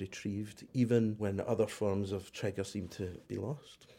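A man's fairly low voice with a dark, mellow tone. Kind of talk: interview.

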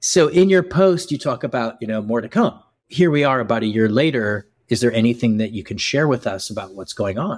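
An unremarkable speaking voice with lively intonation, a fairly quick pace and hardly any pauses, on a very clean recording with a silent background. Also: man, medium pitch for a man. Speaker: podcast host and co-founder. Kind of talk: casual interview conversation.

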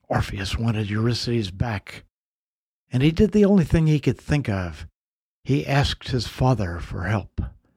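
A man's medium-pitched, somewhat breathy voice, dark and mellow yet dramatic in tone, with very wide pitch swings at a moderate pace, in a very clean recording with a silent background. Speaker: podcast host and mythologist. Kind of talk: scripted mythic storytelling narration; podcast intro and outro, conversational address to listeners. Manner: measured, dramatic, storyteller's delivery.

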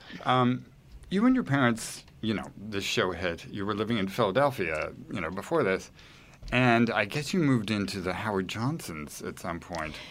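A man speaks at a moderate pace with a fairly low pitch. He has an ordinary speaking voice and lively intonation. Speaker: podcast host. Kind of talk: interview.

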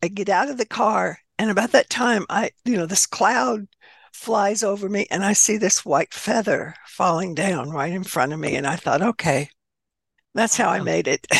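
In a dry, close sound with no echo, a woman with an American accent and a normal speaking voice talks at a moderate pace in a medium pitch with lively intonation. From US South. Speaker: author and spiritualist minister. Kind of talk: interview.

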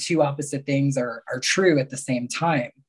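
At a fairly quick pace, a man speaks in a plain, everyday voice with a fairly high pitch. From Mexico and New York area. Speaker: spiritual healer and coach. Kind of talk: casual chat.

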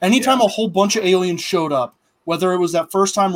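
On a very clean recording with a silent background, a man talks at a fairly quick pace with high pitch and lively intonation. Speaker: podcast host. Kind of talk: casual chat.

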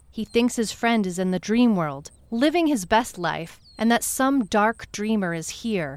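In a dramatic tone, a woman speaks at a fairly slow pace and medium pitch with very wide pitch swings and hardly any pauses, on a very clean recording with a silent background. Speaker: fiction narrator playing a private detective. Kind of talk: scripted noir detective narration, first person. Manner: measured and dramatic, with a storyteller's pacing.

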